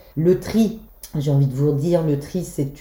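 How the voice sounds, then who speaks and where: At a moderate pace, the voice is dark and mellow, somewhat breathy, with ordinary pitch variation. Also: woman. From Brittany, Belle-Île. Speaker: holiday rental owner. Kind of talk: interview.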